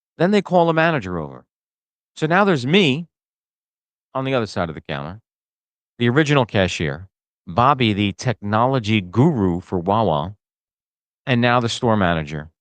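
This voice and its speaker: A man with a New Jersey accent, medium-pitched, with very wide pitch swings and long, frequent pauses. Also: moderate pace. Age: 60s. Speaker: podcast host. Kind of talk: casual comedic monologue.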